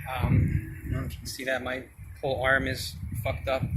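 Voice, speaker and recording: A man speaks at a moderate pace with a medium pitch. There is audible room echo and noticeable background noise. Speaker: vlogger, brain surgery patient. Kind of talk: casual vlog monologue. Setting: outdoors. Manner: halting, many fillers.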